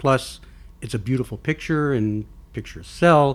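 With an American accent, a man speaks in a plain, everyday voice at medium pitch, a moderate pace and ordinary pitch variation. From Texas. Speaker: podcast host. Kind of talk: casual chat.

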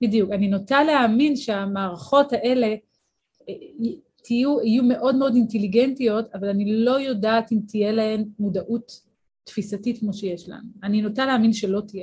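A woman's somewhat breathy voice sits at a fairly high pitch with ordinary pitch variation. She keeps a moderate pace, and her loudness swings widely. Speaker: neuroscience and philosophy professor. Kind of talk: interview. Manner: clear diction.

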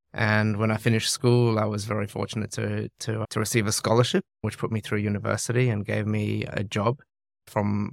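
In a very clean recording with a silent background and a dry, close sound with no echo, a man talks in a normal speaking voice at medium pitch, with fairly even intonation and a moderate pace. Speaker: charity chief executive. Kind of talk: interview.

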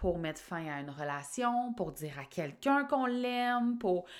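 On a very clean recording with a silent background, a woman speaks at a very slow pace, her pitch swinging very widely. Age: 30s. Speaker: life coach and podcast host. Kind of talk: solo podcast monologue. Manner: casual, conversational.

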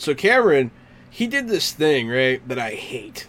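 A fairly high male voice at a moderate pace, with very wide pitch swings. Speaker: podcast host. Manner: laid-back, casual.

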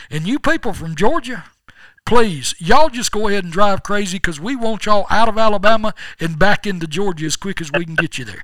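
A man with a Southern US accent talks at a fairly quick pace in a high pitch and a bright, sharp tone. His intonation is lively, with big swings in loudness. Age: 60s. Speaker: podcast host. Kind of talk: casual chat.

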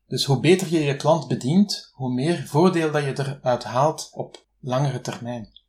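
A man speaks with a Flemish accent at a fairly high pitch. His somewhat breathy delivery has hardly any pauses. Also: ordinary pitch variation, fairly slow pace. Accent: Flemish Dutch. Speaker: freelance translator. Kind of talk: interview.

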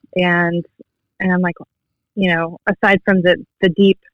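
A woman at medium pitch, in an American accent, at a fairly slow pace. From California, San Francisco Bay Area. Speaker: vinyl record collector. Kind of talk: casual chat.

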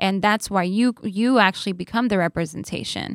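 A woman talks at medium pitch in an ordinary speaking voice. She keeps a moderate pace and fairly even intonation. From New York. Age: 30s. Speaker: content creator and entrepreneur. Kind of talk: interview conversation. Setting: studio.

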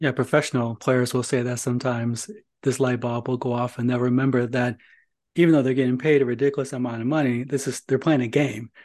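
Over a quiet background, a man talks very fast at a medium pitch in a flat monotone. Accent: American. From northern Indiana. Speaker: podcast host. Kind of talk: podcast interview.

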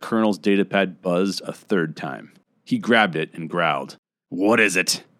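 It is a natural reading voice, heard against a quiet background.

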